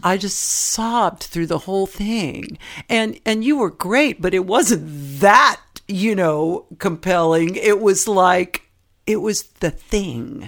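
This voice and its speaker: A woman's medium-pitched voice with an American accent, very slow in pace, lively in intonation, on a very clean recording with a silent background. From US West Coast, San Francisco Bay Area. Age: 60s. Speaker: interview guest. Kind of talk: casual interview conversation.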